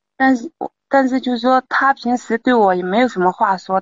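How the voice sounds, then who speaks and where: This woman has a fairly high voice with ordinary pitch variation and speaks at a moderate pace. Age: 30s. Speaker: caller seeking advice on husband's affair. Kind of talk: call-in advice conversation.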